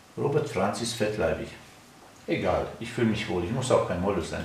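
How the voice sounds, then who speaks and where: Audible room echo surrounds a man speaking at a fairly low pitch and a moderate pace. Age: 50s. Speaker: natural health activist; product demonstrator. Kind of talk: product demonstration. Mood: relaxed, self-assured. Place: studio. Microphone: camera far.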